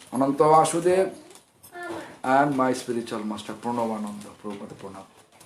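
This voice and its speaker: Over noticeable background noise, a man with a medium-pitched voice talks at a fairly quick pace with lively intonation. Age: 50s. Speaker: monk preacher. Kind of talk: sermon. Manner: loud.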